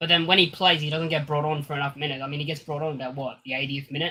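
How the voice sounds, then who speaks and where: A man with an Australian accent speaks in a bright, sharp tone at a fairly high pitch. His intonation stays fairly even on a very clean recording with a silent background. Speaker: football fan panelist. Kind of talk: live stream panel chat.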